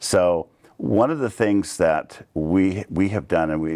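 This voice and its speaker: Over a quiet background, a man speaks with a very deep, low pitch and ordinary pitch variation. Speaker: council candidate. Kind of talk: interview answer. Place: studio. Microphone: lapel.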